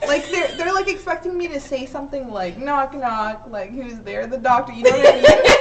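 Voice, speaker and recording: Pitched high, a woman speaks with very wide pitch swings over noticeable background noise. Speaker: comedian. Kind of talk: casual chat. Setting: live-streamed podcast.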